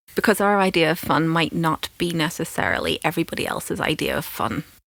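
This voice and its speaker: A woman's fairly low voice with ordinary pitch variation, very fast pace and a Northern Irish accent, in a dry, close sound with no echo. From Northern Ireland. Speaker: film podcast co-host, academic. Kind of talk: casual chat.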